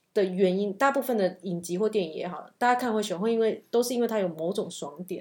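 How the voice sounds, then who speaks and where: The recording is very clean, and the background is silent. Words come out at a very fast clip. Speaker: podcast co-host. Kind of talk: casual chat.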